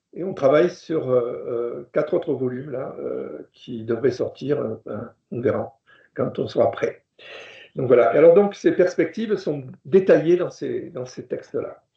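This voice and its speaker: Speaking in a southwestern French accent at a fairly slow pace, the voice makes big swings in loudness. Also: man. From southwest France. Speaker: professor. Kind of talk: lecture. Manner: halting, many fillers.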